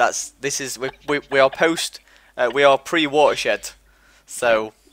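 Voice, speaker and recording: A man with an East Midlands accent, a fairly high pitch and fairly even intonation, in a dry, close sound with no echo. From England, East Midlands (Mansfield, Nottinghamshire). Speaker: live stream host. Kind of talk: casual chat. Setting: live online stream.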